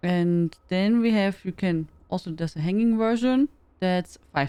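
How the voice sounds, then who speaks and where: A woman speaks with a German accent. Her pitch sits in the medium range. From Germany. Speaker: game streamer. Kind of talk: casual live-stream chat. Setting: live stream.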